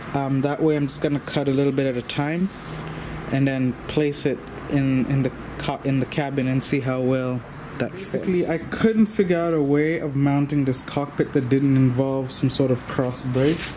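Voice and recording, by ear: The speaker keeps a moderate pace and fairly even intonation while background noise is clearly heard. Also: man, medium pitch for a man.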